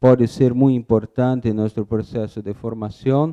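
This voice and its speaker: A man speaks in a dark, mellow tone with ordinary pitch variation, recorded dry and close with no echo. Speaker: architect giving a talk. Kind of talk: lecture. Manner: slow; halting, with self-corrections.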